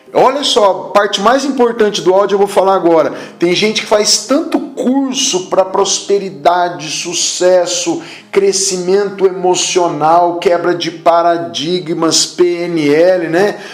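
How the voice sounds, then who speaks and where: Speaking at a very slow pace, a man with a high pitch uses lively intonation over noticeable background noise and audible room echo. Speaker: apostle / preacher. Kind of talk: sermon.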